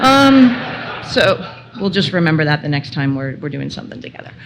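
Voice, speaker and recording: Speaking with a Canadian accent, a woman has a fairly low pitch, with audible room echo and noticeable background noise. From Ontario, York Region north of Toronto. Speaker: telecom executive, conference speaker. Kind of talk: conference presentation. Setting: stage with audience, microphone. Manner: loud.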